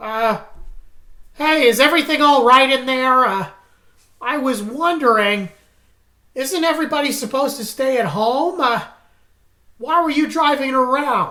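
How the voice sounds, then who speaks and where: A high-pitched, put-on character voice moves at a moderate pace. Long pauses come often. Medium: stage play. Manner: stammering, filler-heavy.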